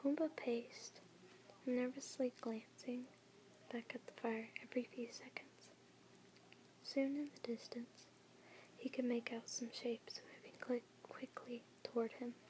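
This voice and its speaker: Whispering and soft-spoken, a woman talks at a fairly slow pace with long, frequent pauses over noticeable background noise. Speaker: ASMR content creator. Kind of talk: ASMR children's book reading. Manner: soft-spoken, whispering.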